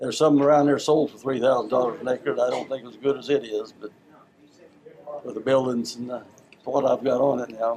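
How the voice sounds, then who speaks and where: Flat, monotone delivery from a man at medium pitch, over noticeable background noise. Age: 80s+. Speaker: retired farmer. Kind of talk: casual interview. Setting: family interview.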